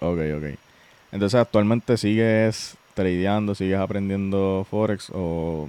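A man speaks very slowly in a dark, mellow tone, his fairly low pitch kept in fairly even intonation. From Puerto Rico, Utuado. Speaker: podcast host, trader. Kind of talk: casual interview chat.

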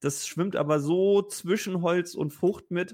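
A man speaks in a high-pitched voice. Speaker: whisky podcast co-host. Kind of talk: casual whisky tasting chat.

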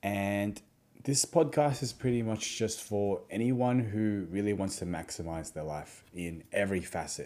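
A man's fairly slow, dark and mellow voice with an Australian accent and lively intonation. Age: 20s. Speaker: podcast host, physiotherapist. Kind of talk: solo podcast monologue. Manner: casual, filler-heavy.

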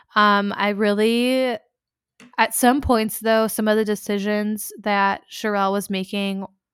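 Someone with an American accent speaks in a monotone, flat intonation in a very clean recording with a silent background. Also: woman. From US Midwest. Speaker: podcast host. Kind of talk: casual chat.

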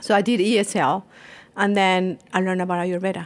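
A woman with a Colombian accent speaks at a moderate pace and a medium pitch. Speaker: Ayurvedic practitioner. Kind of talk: interview. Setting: spa treatment room.

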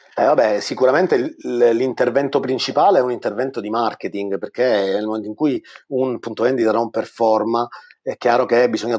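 A man's medium-pitched voice at a moderate pace, a normal speaking voice. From Sicily, Palermo. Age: 40s. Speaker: franchise entrepreneur. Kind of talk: interview. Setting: live online webinar.

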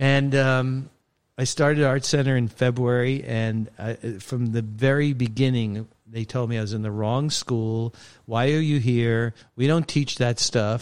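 A man with a plain, everyday voice and an American accent, medium in pitch, fairly slow and fairly even in intonation, in a very clean recording with a silent background. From Brooklyn, New York. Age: 60s. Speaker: sports photographer. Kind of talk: casual interview.

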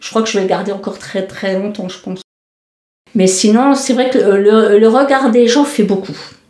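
With ordinary pitch variation, a woman talks fairly slowly, and audible echo fills the room. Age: 50s. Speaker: cancer patient. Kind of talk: testimony. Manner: halting.

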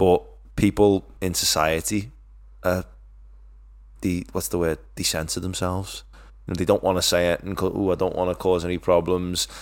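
A man with a Liverpool accent speaks in a very deep, low voice at a moderate pace, his fairly even intonation broken by long, frequent pauses, on a very clean recording with a silent background. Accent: Scouse. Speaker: podcast co-host. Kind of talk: casual chat.

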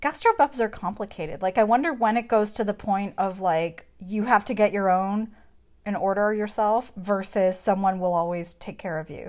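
A woman with an American accent, medium pitch and ordinary pitch variation at a moderate pace, in a very clean recording with a silent background. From United States. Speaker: podcast host. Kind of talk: casual banter while watching a movie. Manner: animated, joking, frequent interruptions.

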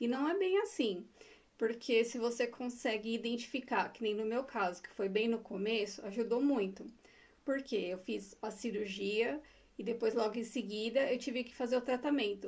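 Woman at a moderate pace, fairly high pitch and ordinary pitch variation, an unremarkable speaking voice. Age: 40s. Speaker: breast cancer survivor, HR professional. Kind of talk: personal testimony in casual interview.

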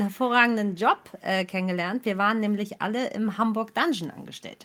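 A woman with a normal speaking voice talks at a fairly quick pace, her fairly high pitch showing ordinary variation. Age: 30s. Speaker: actress. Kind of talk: casual chat.

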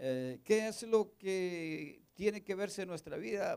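A man's high-pitched voice at a fairly slow pace with lively intonation. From northern Mexico. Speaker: pastor. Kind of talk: sermon.

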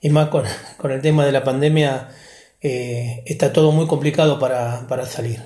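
A man with a Rioplatense accent speaks at a fairly high pitch with fairly even intonation. His tone is dark and mellow, and somewhat breathy. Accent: Argentine Rioplatense Spanish. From Argentina, Olavarría (Buenos Aires province). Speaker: podcast guest, interviewee. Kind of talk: interview, personal reminiscence. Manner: halting, many fillers and repetitions.

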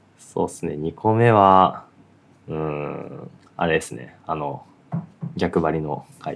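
Very deep, low male voice with ordinary pitch variation, a very slow pace, long, frequent pauses, big swings in loudness and music in the background. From Japan, Aichi. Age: 20s. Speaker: podcast co-host and web engineer. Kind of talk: casual chat.

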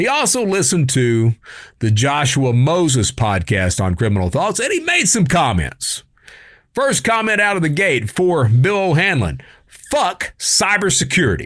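In a very clean recording with a silent background, a man with a Kentucky accent talks at a moderate pace in a fairly high voice with very wide pitch swings and very even loudness. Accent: Kentucky, US South. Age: 50s. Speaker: podcast host, former cybercriminal. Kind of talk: casual talk show reading and answering viewer comments. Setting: studio video recording. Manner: animated, uses put-on voices.

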